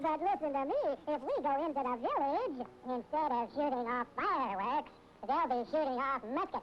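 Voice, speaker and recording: This is a cartoonish character voice with high pitch. Background noise is clearly heard. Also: moderate pace. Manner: meek, deferential.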